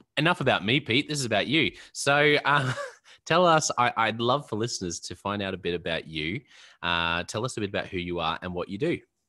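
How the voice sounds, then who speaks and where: A man with an Australian accent speaks at a fairly quick pace, his pitch swinging very widely. His tone is bright and sharp. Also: medium pitch for a man. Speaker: podcast host. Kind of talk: interview.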